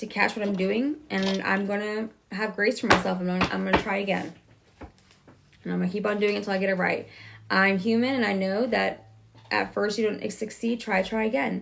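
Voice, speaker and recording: Woman's medium-pitched voice at a fairly quick pace, fairly even intonation, noticeable background noise. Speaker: tarot reader. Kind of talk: live tarot reading stream. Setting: livestream. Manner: fast; casual, conversational.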